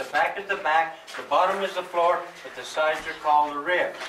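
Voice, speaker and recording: With light background noise and audible room echo, a man talks at a moderate pace. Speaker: mine tour guide. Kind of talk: tour guide explanation. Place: tunnel cave. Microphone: camera far.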